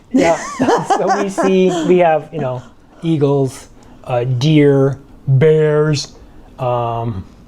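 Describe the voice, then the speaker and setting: A man with an American accent speaks at a very slow pace and a fairly high pitch, with ordinary pitch variation and long, frequent pauses. Noticeable background noise sits behind him. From Michigan, US. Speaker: retired tech worker and vlogger. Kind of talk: casual chat. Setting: home condo by the beach, on video.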